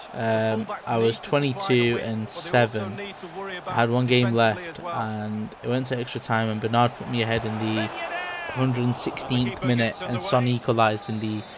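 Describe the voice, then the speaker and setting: Noticeable background noise behind a man speaking at medium pitch. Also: ordinary pitch variation, moderate pace. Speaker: gaming YouTuber. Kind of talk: video game review and gameplay commentary. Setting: home recording over game footage.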